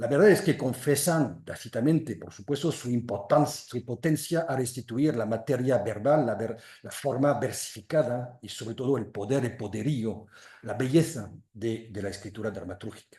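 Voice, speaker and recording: With a French accent, a man speaks at a moderate pace and medium pitch in a dark, mellow, somewhat breathy tone, with ordinary pitch variation and big swings in loudness. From western France, Loire valley between Angers and Nantes. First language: French (speaking Spanish). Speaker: literary translator. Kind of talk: lecture. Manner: halting.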